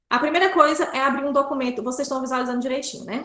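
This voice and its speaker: This is a woman speaking. There is audible room echo. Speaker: pedagogy student workshop presenter. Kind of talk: tutorial.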